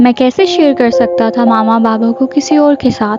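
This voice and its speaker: Music plays in the background as a woman speaks. Her high pitch shows ordinary pitch variation. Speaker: horror story narrator. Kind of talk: horror story narration.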